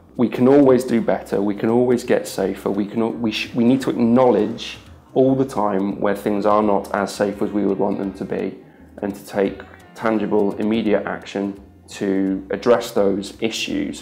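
At a moderate pace, a man speaks in a fairly low pitch with fairly even intonation while faint music plays in the background. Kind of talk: interview answer. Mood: earnest, measured. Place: office.

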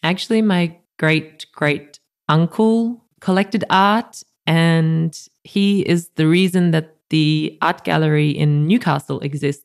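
In a dry, close sound with no echo, a woman with an Australian accent speaks very slowly at a fairly low pitch with ordinary pitch variation. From rural New South Wales, Australia (near Goulburn). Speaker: art curator. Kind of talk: casual interview.

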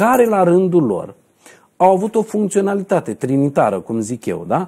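Over a quiet background, a man with a high pitch and a dark, mellow tone talks at a moderate pace with lively intonation. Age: 40s. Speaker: numerologist; numerologist show host. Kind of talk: TV talk show interview. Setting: TV studio. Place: studio. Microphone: lapel.

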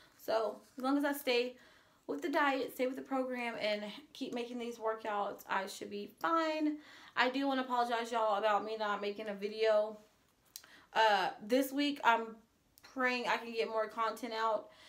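Moderate speed and ordinary pitch movement in a woman's voice. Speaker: vlogger. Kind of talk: casual vlog chat. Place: home room.

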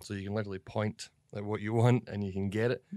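A man with a Scottish accent, fairly low in pitch with a dark, mellow tone, in a monotone, flat intonation at a very fast pace, on a very clean recording with a silent background. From Scotland. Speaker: comedy actor. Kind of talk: interview. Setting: office.

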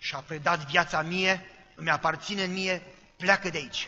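His voice is a put-on character voice. The pitch sits high for a man. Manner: menacing.

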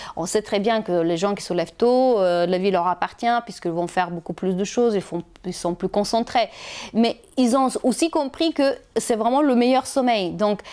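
A woman with a non-native accent speaks at a moderate pace in a fairly high pitch, her tone dark and mellow and her intonation lively, against a quiet background. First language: not French (speaking French). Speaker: health and wellness vlogger; wellness vlogger. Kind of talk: casual advice video to camera. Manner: hesitant with fillers. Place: home room. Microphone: lapel.

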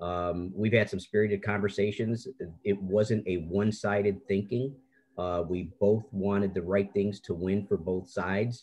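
A man talks at a moderate pace with fairly even intonation. His pitch is fairly low. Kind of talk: meeting remarks. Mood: warm, appreciative. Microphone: video call.

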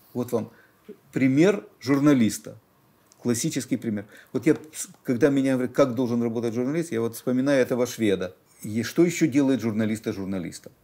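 At a fairly quick pace broken by long, frequent pauses, a man talks in a dark, mellow tone with ordinary pitch variation. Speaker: newspaper editor. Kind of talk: interview answer. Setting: studio. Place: studio.

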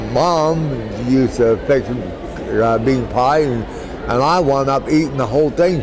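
A man talks at a fairly slow pace with ordinary pitch variation, and noticeable background noise can be heard. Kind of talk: interview answer. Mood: warm, nostalgic. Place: hall.

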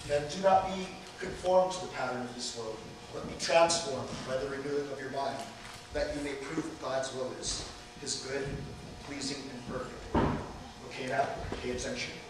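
Strong room echo and noticeable background noise surround a man speaking at a moderate pace. He uses ordinary pitch variation and takes long, frequent pauses. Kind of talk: scripture reading and teaching. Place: hall. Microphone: camera far.

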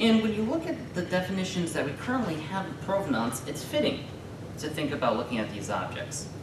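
A man's voice with very wide pitch swings, audible room echo and noticeable background noise. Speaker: graduate student presenter. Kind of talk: conference presentation. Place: classroom. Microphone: camera far.

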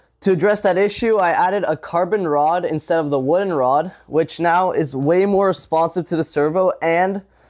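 A woman's normal speaking voice, fairly low in pitch, with very even loudness, hardly any pauses and a quiet background. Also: ordinary pitch variation, moderate pace. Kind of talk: casual vlog chat. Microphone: phone near.

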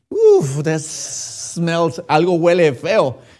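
A man's high-pitched, animated voice against a quiet background. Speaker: preacher. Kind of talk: sermon in a Spanish-language Baptist church. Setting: church. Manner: animated, direct, addresses the congregation as usted with rhetorical questions; conversational, switches between Spanish and English. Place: church. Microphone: podium.

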